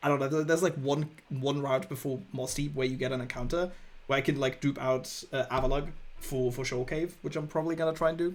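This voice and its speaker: Fairly high-pitched and with fairly even intonation, a man speaks at a fairly quick pace. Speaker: video game streamer. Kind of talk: casual chat. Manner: loud.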